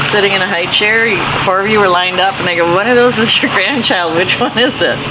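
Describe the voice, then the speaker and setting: The speech comes at a very fast pace. Loud background noise is present. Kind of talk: casual family chat. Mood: warm, laughing reminiscing. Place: garden.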